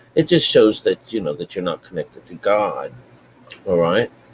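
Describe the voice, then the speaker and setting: A quiet male voice. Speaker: spiritual teacher. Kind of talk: bible teaching. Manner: quiet, talking low.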